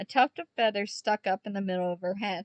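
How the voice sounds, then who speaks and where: Here a woman is speaking. She goes at a moderate pace. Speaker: book reader. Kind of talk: read story. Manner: stuttering at times.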